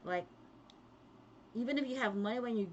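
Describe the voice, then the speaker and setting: Her pitch fairly high, a woman speaks with a Filipino accent and lively intonation. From Philippines, Kapampangan-speaking region. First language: Kapampangan. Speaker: vlogger, pharmacist. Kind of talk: casual livestream talk.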